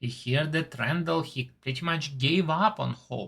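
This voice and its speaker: In a non-native accent, the speaker talks at a very slow pace. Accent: foreign. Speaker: TV show reviewer. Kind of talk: casual monologue review. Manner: slightly halting.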